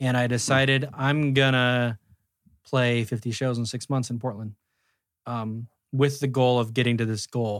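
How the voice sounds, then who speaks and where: The man's pitch is mid-range and his tempo moderate. His intonation stays monotone and flat. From US Pacific Northwest, Roseburg, Oregon. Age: 40s. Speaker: musician. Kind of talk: casual interview chat.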